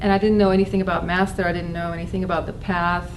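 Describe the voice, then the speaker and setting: Noticeable background noise and audible room echo around a woman talking fairly quickly. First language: not English. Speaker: spiritual talk speaker. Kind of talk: personal testimony talk. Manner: halting, with fillers.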